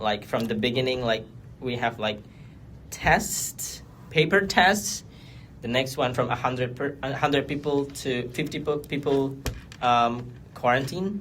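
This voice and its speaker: With an Indonesian accent, the speaker moves at a fairly slow pace with long, frequent pauses. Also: man, medium pitch for a man, ordinary pitch variation. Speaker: exchange program alumnus. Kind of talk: podcast interview. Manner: halting.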